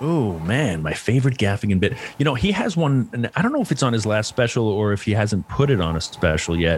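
A man with a medium pitch talks at a fairly quick pace with hardly any pauses, very wide pitch swings and very even loudness, over noticeable background noise. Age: 50s. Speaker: stand-up comedian. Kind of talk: casual interview chat.

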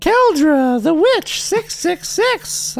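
A woman puts on a character voice, pitched extremely high, her pitch swinging very widely. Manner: cackling.

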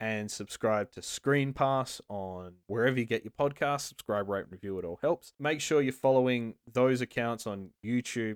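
A man speaks in an unremarkable speaking voice at medium pitch with ordinary pitch variation, recorded dry and close with no echo in a very clean recording over a silent background. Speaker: podcast host. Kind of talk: casual chat.

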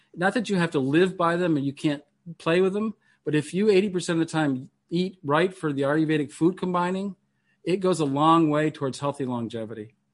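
An unremarkable speaking voice from a man, fairly high in pitch with ordinary pitch variation, at a fairly quick pace over a quiet background. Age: 50s. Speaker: meditation teacher and minister. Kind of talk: lecture.

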